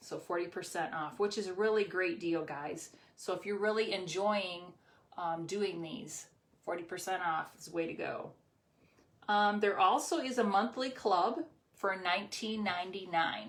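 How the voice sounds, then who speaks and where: At a moderate pace and with ordinary pitch variation, the speech carries audible room echo. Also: woman, medium pitch for a woman. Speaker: crafting channel host and seller. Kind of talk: craft tutorial livestream with product pitch. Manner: casual, hesitant with many ums.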